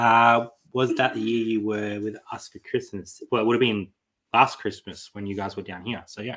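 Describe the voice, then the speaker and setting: The background is quiet as a man speaks at a moderate pace. His intonation is monotone and flat, yet his loudness swings widely. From Australia. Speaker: online reseller, channel co-host. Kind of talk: casual live stream chat. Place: home room.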